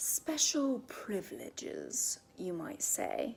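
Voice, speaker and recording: A woman whispers in a put-on character voice. She speaks at a very slow pace. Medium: read story. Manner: clear and loud.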